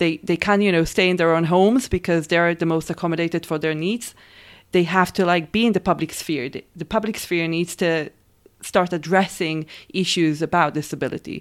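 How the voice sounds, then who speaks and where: With an Israeli accent, a woman speaks fairly quickly at a fairly low pitch with fairly even intonation. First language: Hebrew. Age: 30s. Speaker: performance artist. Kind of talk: interview.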